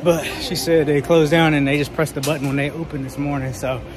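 The speech is very fast with monotone, flat intonation. Noticeable background noise is present. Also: man. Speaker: sneaker vlogger. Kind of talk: casual vlog chat. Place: shop. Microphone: phone near.

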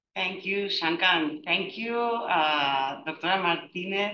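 A woman speaks in a Spanish accent with a bright, sharp tone, a fairly low pitch, and ordinary pitch variation. There is audible room echo and light background noise. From Spain. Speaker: family physician; webinar panellist. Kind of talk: panel discussion. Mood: warm, appreciative. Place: office. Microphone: headset.

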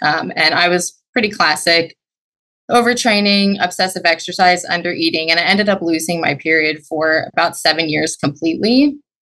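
This woman has a fairly low voice and talks at a moderate pace. Her loudness stays very even against a quiet background. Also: ordinary pitch variation. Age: 20s. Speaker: genetic counselor; podcast caller. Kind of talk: call-in question to hosts. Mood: earnest, slightly nervous. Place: home room. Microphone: video call.

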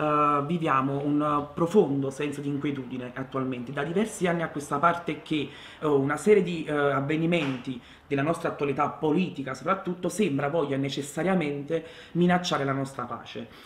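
Audible room echo surrounds a man speaking fairly quickly with fairly even intonation. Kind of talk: interview answer. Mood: thoughtful, calm. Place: home room.

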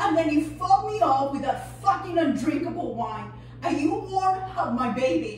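With light background noise and audible room echo, a woman talks at a fairly slow pace. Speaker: actor. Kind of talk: acting audition monologue. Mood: bitter, accusing, emotional. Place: empty room.

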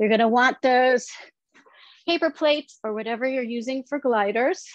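A woman speaks in a high pitch with ordinary pitch variation, her dry sound free of echo against a quiet background. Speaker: fitness instructor. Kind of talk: guided exercise class with rhythmic cues and countdowns. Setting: online workout video at home. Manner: brisk, rhythmic, encouraging. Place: home room.

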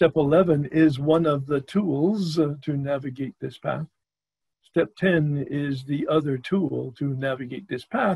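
Somewhat breathy, a man speaks at a very slow pace with ordinary pitch variation. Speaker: workshop facilitator. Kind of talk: lecture. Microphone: video call.

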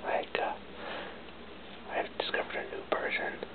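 A man talks fairly slowly while loud noise fills the background. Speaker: vlogger. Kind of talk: casual talk to camera. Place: home room. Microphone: webcam.

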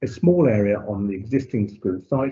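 A man speaks in a somewhat breathy voice. The background is quiet. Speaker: local councillor. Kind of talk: formal meeting. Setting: video call. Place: home room. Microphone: video call.

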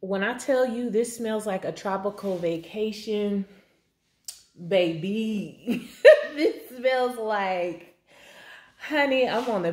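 The speech comes at a very slow pace with long, frequent pauses and ordinary pitch variation, and audible room echo surrounds it. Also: woman. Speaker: beauty vlogger. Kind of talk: casual vlog chat. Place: kitchen. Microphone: phone near.

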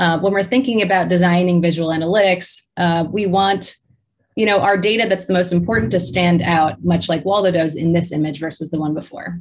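A plain, everyday voice moves at a fairly quick pace with ordinary pitch variation. Light background noise can be heard. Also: woman, fairly low pitch for a woman. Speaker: presenter. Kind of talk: lecture. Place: home room. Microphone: webcam.

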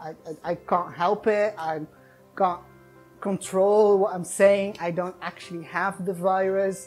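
With faint music in the background, a woman talks at a fairly slow pace in a fairly low pitch. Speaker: vlogger telling a personal story. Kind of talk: casual vlog storytelling. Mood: animated, distressed retelling. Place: home room. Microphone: lapel.

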